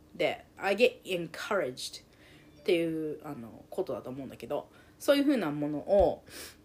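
The loudness swings widely. The pace is moderate. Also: woman. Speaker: podcast host and life coach. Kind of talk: casual monologue.

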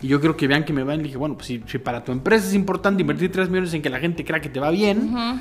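Over background music, a man with a Mexican accent talks very fast at a fairly high pitch with lively intonation. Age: 40s. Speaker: marketing consultant and teacher. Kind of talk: casual interview chat.

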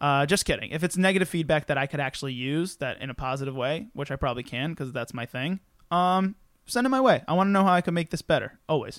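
A man with a fairly high pitch talks at a very fast pace in an animated tone with lively intonation, recorded very cleanly against a silent background with a dry, close sound and no echo. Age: 20s. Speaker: podcast host. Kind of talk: casual chat. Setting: studio.

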